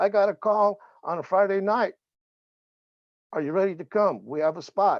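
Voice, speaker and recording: Pausing long and often, a man with a high-pitched voice talks at a moderate pace with ordinary pitch variation. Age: 70s. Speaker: civil rights activist. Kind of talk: testimony.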